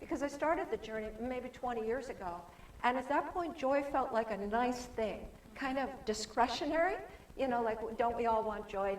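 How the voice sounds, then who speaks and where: A woman with a fairly high pitch talks at a moderate pace in an animated tone, her pitch swinging very widely. Noticeable background noise and audible room echo surround her voice. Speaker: author and guest speaker. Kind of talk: sermon.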